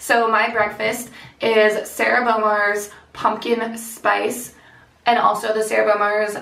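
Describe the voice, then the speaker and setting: A woman speaks at a fairly high pitch. Room echo is audible. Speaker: lifestyle vlogger. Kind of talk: casual vlog chat.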